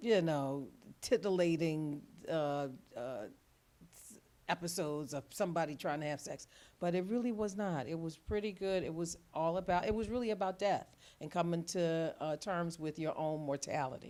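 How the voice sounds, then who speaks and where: A woman speaks at a moderate pace with a fairly low pitch. Her loudness swings a lot, while her pitch varies in an ordinary way. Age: 60s. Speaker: retired social worker. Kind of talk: casual interview chat. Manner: halting, many fillers and restarts.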